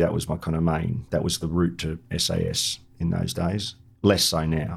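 A man with an Australian accent and a very deep, low pitch speaks at a moderate pace on a very clean recording with a silent background. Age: 50s. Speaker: war veteran. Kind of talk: interview.

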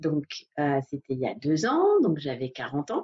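A woman speaks with lively intonation. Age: 40s. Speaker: massage therapist and coach. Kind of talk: interview. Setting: Facebook Live video call. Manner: halting.

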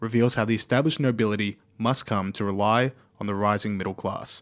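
A man talks fairly quickly in an Australian accent. The recording is very clean, with a silent background. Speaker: podcast moderator. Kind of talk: scripted narration.

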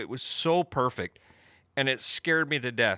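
With a Pacific Northwest accent, the voice has a bright, sharp tone on a very clean recording with a silent background. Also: man, dry, close sound with no echo. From US Pacific Northwest, Eastern Washington. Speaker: podcast co-host, Sasquatch researcher. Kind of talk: casual storytelling. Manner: halting, many fillers.

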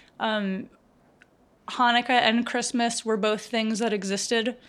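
At a fairly slow pace, a woman speaks with monotone, flat intonation. Her pitch is fairly high. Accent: American. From rural Virginia, US South. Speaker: musician. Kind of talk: casual chat. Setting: video call.

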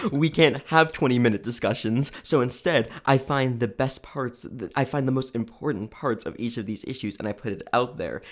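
An unremarkable speaking voice with an American accent, fairly quick, on a very clean recording with a silent background. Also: man. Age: young. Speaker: student political candidate. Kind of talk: interview.

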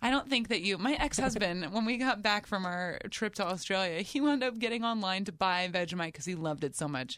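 With a plain, everyday voice, a woman of medium pitch talks at a fairly quick pace with lively intonation and hardly any pauses. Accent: American. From New Jersey. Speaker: comedian and radio host. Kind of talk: casual interview chat. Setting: studio.

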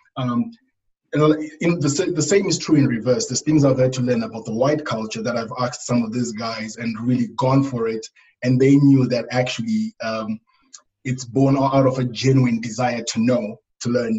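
With a Zimbabwean accent, a man speaks at a moderate pace. His pitch is medium, with ordinary variation. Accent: Zimbabwean English, noticeable. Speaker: youth worker and preacher. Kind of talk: casual interview.

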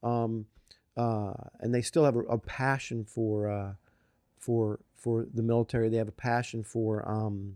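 A man's dark, mellow tone in a flat monotone, recorded dry and close with no echo. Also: medium pitch for a man. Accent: Philadelphia. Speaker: author. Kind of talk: interview. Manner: fast; halting, repeats words.

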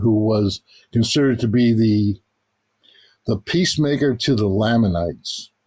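With a New York accent, a man speaks at a medium pitch in a dark, mellow tone. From New York City, Queens. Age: 70s. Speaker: author and journalist. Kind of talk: interview. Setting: remote call.

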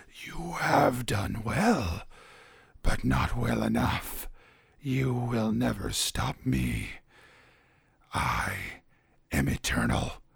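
Using a put-on character voice, a raspy man speaks at a very slow pace with very deep, low pitch, very wide pitch swings and long, frequent pauses. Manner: menacing.

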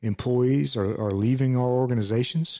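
A man's medium-pitched voice at a fairly slow pace, in a very clean recording with a silent background. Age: 40s. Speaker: podcast host, former firefighter. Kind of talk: solo podcast monologue. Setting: home office studio. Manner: casual, halting with fillers.

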